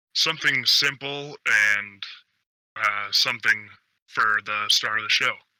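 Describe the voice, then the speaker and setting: Putting on a character voice, a man of medium pitch speaks at a moderate pace with long, frequent pauses. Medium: actual play. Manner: hesitant, polite.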